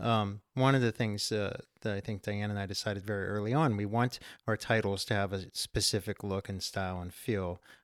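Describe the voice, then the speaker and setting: In a plain, everyday voice, a man with a fairly low pitch talks at a fairly quick pace with fairly even intonation, on a very clean recording that is dry, close and echo-free with a silent background. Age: 40s. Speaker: author and small-press editor. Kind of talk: interview.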